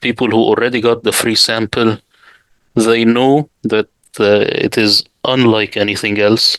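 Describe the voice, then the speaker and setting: At a fairly slow pace, a man with an Arabic accent speaks in a medium pitch with monotone, flat intonation and very even loudness, the sound dry and close with no echo. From Middle East. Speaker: Quran translator. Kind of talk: interview.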